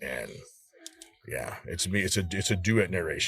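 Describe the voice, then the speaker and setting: With a very deep, low pitch and vocal fry, a man speaks with lively intonation. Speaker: audiobook narrator. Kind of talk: panel discussion. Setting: live online panel. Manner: halting.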